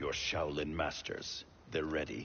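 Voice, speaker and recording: Using a raspy, put-on character voice, a man talks at a fairly slow pace over light background noise. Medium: video game. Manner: suspicious, firm.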